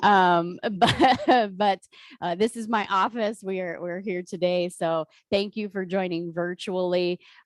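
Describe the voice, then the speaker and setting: An ordinary speaking voice from a woman with an American accent, medium in pitch and fairly even in intonation, at a fairly slow pace, in a dry, close sound with no echo. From Eastern Ohio. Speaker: behavioral health executive. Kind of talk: training presentation. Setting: video call from office.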